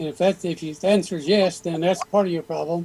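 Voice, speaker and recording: Noticeable background noise accompanies a man speaking in a high pitch. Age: 80s+. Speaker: gardening YouTuber. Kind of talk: casual chat.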